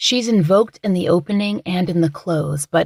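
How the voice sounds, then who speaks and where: Somewhat breathy, a woman speaks slowly-ish in a fairly low pitch, at a fairly slow pace. The sound is dry and close with no echo, and her pitch varies in an ordinary way. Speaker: true crime podcast host. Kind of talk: true crime podcast narration.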